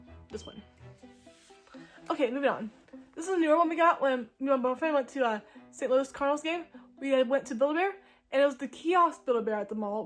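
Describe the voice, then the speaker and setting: A woman's very fast, animated voice, high in pitch, with ordinary pitch variation. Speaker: YouTuber. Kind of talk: casual show-and-tell vlog.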